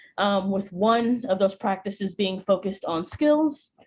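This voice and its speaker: A woman with an American accent speaks at medium pitch and a moderate pace. Her voice sounds somewhat breathy. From US Midwest, Chicago. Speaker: speech and debate coach. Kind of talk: workshop presentation. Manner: many vocal fillers.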